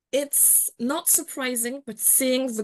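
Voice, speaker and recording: A woman's high voice with a non-native accent, a fairly slow pace and a quiet background. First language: not English. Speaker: journalist and columnist. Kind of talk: webinar panel discussion. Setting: online webinar.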